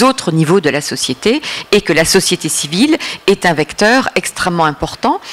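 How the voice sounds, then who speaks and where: Over noticeable background noise, a woman speaks at a moderate pace, her pitch swinging very widely. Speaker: Middle East policy expert, consultant. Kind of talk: lecture. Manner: hesitant, many filler sounds.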